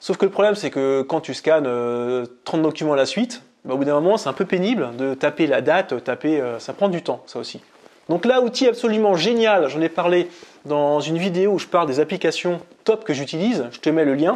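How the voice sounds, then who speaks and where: This man's pitch sits fairly high, and his intonation is lively. He talks at a fairly quick pace. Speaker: productivity blogger and youtuber. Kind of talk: casual tutorial to camera. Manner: fast; halting, with many fillers.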